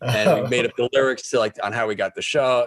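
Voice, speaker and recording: Recorded dry and close with no echo, a man talks at a moderate pace, his medium pitch showing ordinary variation. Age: 60s. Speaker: rock photographer. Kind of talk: interview. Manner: halting.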